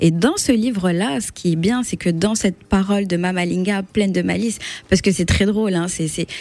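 Delivered at a moderate pace, the speech has ordinary pitch variation. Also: woman, medium pitch for a woman. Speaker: literature blogger. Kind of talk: radio interview. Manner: hesitant.

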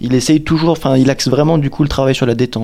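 This man talks at a very fast pace, at a medium pitch with ordinary pitch variation. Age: 20s. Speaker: accordion student. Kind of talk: testimony.

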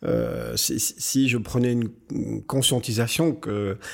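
Very clean audio over a silent background carries a man's voice. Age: 50s. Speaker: company director. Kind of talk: interview. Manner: halting, repeats words.

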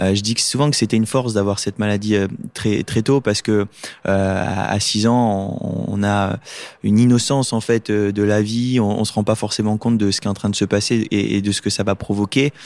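A man talks at a moderate pace in a fairly low pitch, with fairly even intonation and very even loudness. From Lorraine, France. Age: 20s. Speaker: paralympic swimmer. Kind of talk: casual interview. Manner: hesitant, many fillers.

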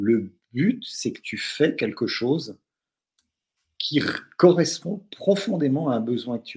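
Fairly high for a man, his somewhat breathy voice moves very slowly with long, frequent pauses, very wide pitch swings and big swings in loudness. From France, from an English-speaking family. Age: 60s. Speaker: doctor, novelist and role-playing gamer. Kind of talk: casual chat.

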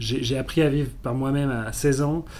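The voice belongs to a man. There is audible echo from the room. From South Africa (French expatriate). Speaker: entrepreneur and university professor. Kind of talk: interview. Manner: calm.

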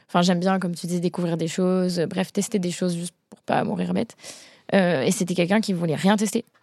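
With a fairly low pitch and fairly even intonation, a woman with an unremarkable speaking voice talks at a fairly quick pace. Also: big swings in loudness. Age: 20s. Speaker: photographer. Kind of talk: casual chat.

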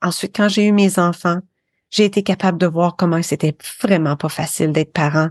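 Recorded dry and close with no echo against a quiet background, a woman speaks at a medium pitch with ordinary pitch variation and a slight Quebec accent. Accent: slight North American (Québécois) French. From Quebec, Eastern Townships (Windsor, Sherbrooke). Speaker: podcaster. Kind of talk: interview.

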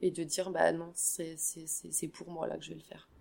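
Vocal fry and monotone, flat intonation from a woman. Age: 40s. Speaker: trek participant, insurance agent. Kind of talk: casual interview. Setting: hotel. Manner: halting, repeats words.

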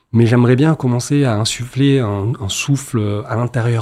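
A man's dark, mellow tone. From Marseille, southern France. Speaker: entrepreneur, agency founder. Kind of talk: interview.

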